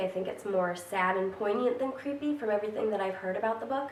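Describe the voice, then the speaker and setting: A woman speaks with ordinary pitch variation. Noticeable background noise runs beneath her. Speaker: book vlogger. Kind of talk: casual talk to camera.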